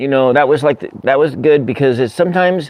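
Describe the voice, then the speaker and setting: Fairly even intonation and a fairly high pitch mark this man's voice, spoken with an American accent. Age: 50s. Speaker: livestream host. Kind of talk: casual livestream chat. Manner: halting, repetitive.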